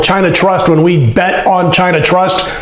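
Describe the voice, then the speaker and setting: Monotone, flat intonation with audible room echo. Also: man. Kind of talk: sports betting commentary. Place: studio. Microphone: lapel.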